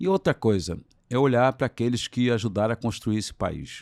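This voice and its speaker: On a very clean recording with a silent background and a dry, close sound with no echo, a man speaks at a medium pitch and moderate pace with ordinary pitch variation. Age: 60s. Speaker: trade unionist and former politician. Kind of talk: interview. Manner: animated.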